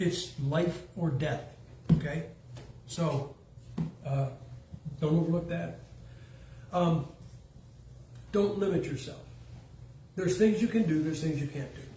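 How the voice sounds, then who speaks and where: With a fairly high pitch, vocal fry and a dark, mellow tone, a man speaks at a fairly slow pace with ordinary pitch variation and long, frequent pauses, in audible room echo. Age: 70s. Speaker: preacher. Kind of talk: sermon. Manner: casual, joking.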